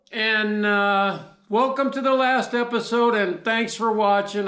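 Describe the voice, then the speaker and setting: A man speaks at a fairly slow pace in a high voice for a man, with fairly even intonation, audible room echo and a quiet background. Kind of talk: casual vlog chat. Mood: jovial, laughing. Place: workshop. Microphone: camera far.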